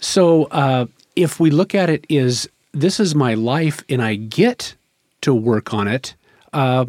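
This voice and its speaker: A fairly high-pitched man with an American accent speaks in an unremarkable speaking voice with lively intonation. The sound is dry and close with no echo, in a very clean recording with a silent background. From Rogue Valley, southern Oregon, US. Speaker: addiction counselor. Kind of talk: podcast interview.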